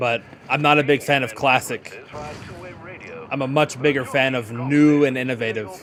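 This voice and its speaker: Amid noticeable background noise, a man with a medium pitch speaks in an animated tone at a moderate pace, leaving long, frequent pauses. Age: 20s. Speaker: gaming streamer. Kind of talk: casual livestream commentary.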